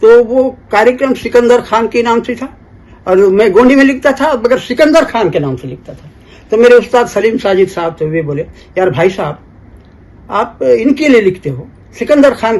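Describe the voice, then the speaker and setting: A man with a high-pitched voice talks with lively intonation. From Bastar, Chhattisgarh (family from Aligarh). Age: 70s. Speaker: folk poet and lyricist. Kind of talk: interview, storytelling. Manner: halting, with repetitions.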